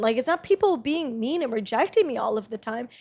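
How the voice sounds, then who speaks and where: Here a woman speaks at a high pitch. Her intonation is lively, on a very clean recording with a silent background. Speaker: podcast host. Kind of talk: casual monologue. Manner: gets loud when excited.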